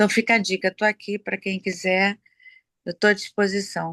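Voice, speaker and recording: A woman with a medium pitch and a bright, sharp tone speaks at a fairly slow pace, the sound dry and close with no echo. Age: 60s. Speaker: program participant. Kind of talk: testimony. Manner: halting.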